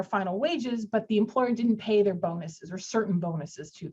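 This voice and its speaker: Somewhat breathy, a woman with a fairly high pitch speaks at a fairly quick pace. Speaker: employment lawyer. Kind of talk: webinar legal presentation. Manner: fast.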